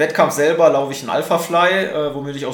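Amid noticeable background noise and audible room echo, a man speaks with a fairly high pitch and fairly even intonation. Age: 20s. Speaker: triathlete. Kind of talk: interview.

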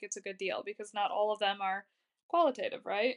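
The dry, close sound with no echo captures a woman talking at a very fast pace. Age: 20s. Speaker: podcast host, rental investor. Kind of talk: casual interview.

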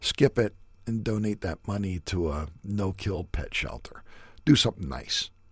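A man speaks with vocal fry in a very clean recording with a silent background. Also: fairly low pitch for a man, moderate pace. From US, son of Yugoslav immigrants. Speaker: podcast host. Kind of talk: solo commentary monologue.

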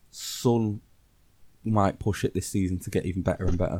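In an English accent, a man talks with a very deep, low pitch and ordinary pitch variation. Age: 30s. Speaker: football podcast co-host. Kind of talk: casual chat.

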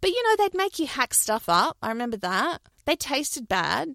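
A woman talks at a fairly quick pace with an Australian accent, her pitch swinging very widely. The sound is dry and close, with no echo. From New Zealand, Christchurch, then Australia from age ten. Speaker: former anti-vaxxer, host's wife. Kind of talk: casual interview.

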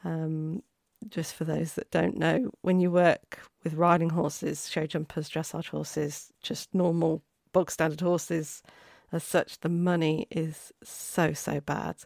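Very deep and low, a woman's voice moves at a fairly slow pace with fairly even intonation. The recording is very clean and dry, close with no echo, over a silent background. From Warwickshire, England. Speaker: podcast host, racing stable worker. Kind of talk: solo podcast monologue. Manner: hesitant, many fillers.

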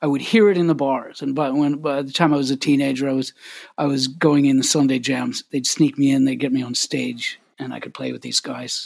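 A man with a Canadian accent talks at a moderate pace in a fairly high pitch. He has an ordinary speaking voice with ordinary pitch variation. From Canada, Winnipeg. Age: 50s. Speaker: harmonica player and singer-songwriter. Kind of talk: casual interview.

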